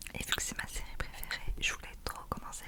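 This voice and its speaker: Through noticeable background noise comes a woman's whispering. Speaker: ASMR creator. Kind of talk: casual talk to camera. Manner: whispered.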